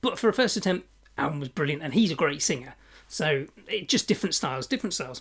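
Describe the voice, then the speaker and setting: A woman's somewhat breathy voice, very deep and low in pitch, with very wide pitch swings, on a very clean recording with a silent background. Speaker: podcast host, music fan. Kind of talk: unboxing video, casual talk. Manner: hesitant, many ums.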